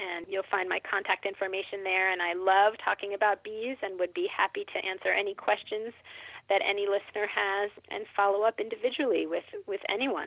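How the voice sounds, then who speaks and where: An American-accented woman speaks in a normal speaking voice at a medium pitch and a moderate pace. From Philadelphia, US. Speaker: beekeeper and teacher. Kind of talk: casual interview.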